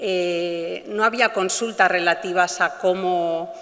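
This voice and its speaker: A woman's monotone, flat intonation comes through over noticeable background noise. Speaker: animal rights lawyer. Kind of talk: conference talk. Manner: hesitant, many fillers.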